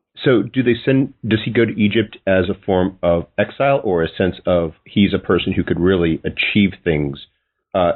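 A man with a very deep, low voice speaks at a moderate pace, his pitch varying in an ordinary way. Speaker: podcast host. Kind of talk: interview questions.

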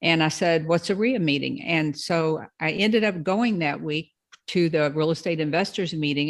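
A woman with a fairly low voice speaks at a moderate pace in a Kentucky accent over a quiet background. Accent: Southern US, Kentucky. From Louisville, Kentucky. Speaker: probate real estate investor. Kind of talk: interview, educational talk. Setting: video call.

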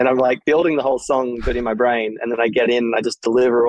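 A man with an Australian accent speaks at a very fast pace. His medium-pitched voice is monotone and flat. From Australia, Sydney. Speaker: DJ and music producer. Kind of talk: casual interview chat.

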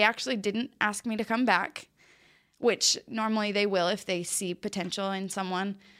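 A woman with an American accent speaks in a normal speaking voice at a moderate pace and medium pitch. Her intonation is fairly even, and the recording is very clean with a silent background. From Utah. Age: 20s. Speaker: professional cheerleader. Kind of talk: casual chat. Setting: studio.

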